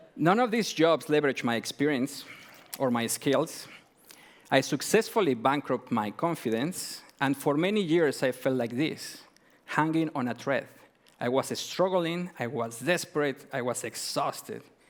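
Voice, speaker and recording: A man with a Mexican accent speaks at a fairly slow pace with lively intonation. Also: fairly high pitch for a man. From Mexico. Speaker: entrepreneur. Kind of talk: pitch presentation. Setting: stage with audience.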